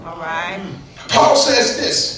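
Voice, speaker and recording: The man's tone is animated, his pace fairly slow. Noticeable background noise is present. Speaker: preacher. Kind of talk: preacher's sermon to a live congregation, with call-and-response. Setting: church with congregation. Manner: animated, exhorting, repetitive with refrains like "keep on pushing anyhow"; voice a bit weak, not at full strength.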